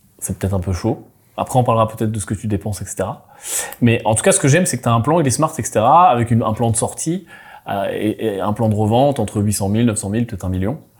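A man with a medium pitch speaks at a very fast pace, his somewhat breathy voice carrying lively intonation. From Brittany, France. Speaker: podcast host. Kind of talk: casual business panel chat.

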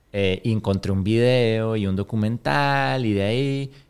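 A man's normal speaking voice, fairly low in pitch, with ordinary pitch variation at a fairly slow pace. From Venezuela, Caracas. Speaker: business owner. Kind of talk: interview.

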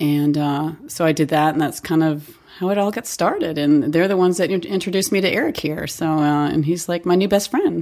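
A woman's unremarkable speaking voice, fairly low in pitch, at a fairly quick pace with hardly any pauses and ordinary pitch variation. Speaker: podcast co-host. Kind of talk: casual chat.

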